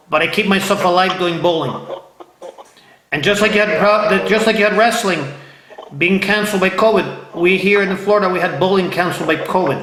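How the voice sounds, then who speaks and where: An animated, high-pitched man with long, frequent pauses, audible room echo and noticeable background noise. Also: fairly quick pace. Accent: American. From Ohio. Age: 50s. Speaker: interview show host. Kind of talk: casual interview. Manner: animated, repetitive.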